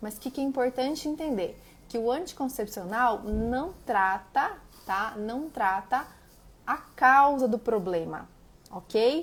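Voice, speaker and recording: A woman with a high pitch speaks at a very slow pace. Her intonation is lively, and there is noticeable background noise. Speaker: nutritionist. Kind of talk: live stream talk.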